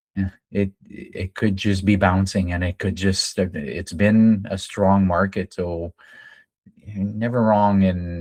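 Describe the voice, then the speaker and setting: In a Franco-Ontarian accent, a man with a very deep, low pitch speaks at a fairly slow pace with fairly even intonation. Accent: Franco-Ontarian Canadian English. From Northern Ontario, Canada (French-speaking community). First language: French. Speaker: day trading educator. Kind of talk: live trading stream with group chat. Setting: live video session with screen sharing. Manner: hesitant, many fillers.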